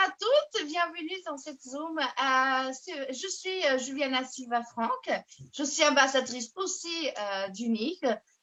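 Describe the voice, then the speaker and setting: A woman talks at a very slow pace with lively intonation. Her voice sits high. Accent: Portuguese. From Portugal. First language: Portuguese (speaking French). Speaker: network marketing ambassador. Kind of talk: self-introduction on video call. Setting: video call. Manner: halting.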